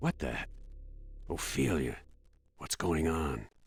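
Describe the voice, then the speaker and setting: Putting on a character voice, a man talks at a fairly slow pace in a very deep, low pitch with ordinary pitch variation. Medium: video game.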